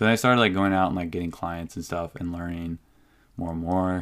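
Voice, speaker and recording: With an American accent, a man talks at a very deep, low pitch. The recording is very clean, with a silent background. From Whidbey Island, Washington, US. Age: 20s. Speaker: business owner. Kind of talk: casual chat. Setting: studio.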